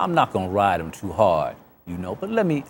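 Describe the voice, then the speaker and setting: This man speaks at a fairly quick pace, his pitch swinging very widely. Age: 60s. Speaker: author and former prisoner. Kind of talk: interview.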